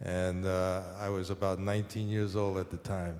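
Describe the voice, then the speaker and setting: There is audible room echo around this man's voice. He speaks with a New York accent at a moderate pace. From New York City, Harlem. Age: 70s. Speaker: painter. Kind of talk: onstage conversation. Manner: halting, many fillers.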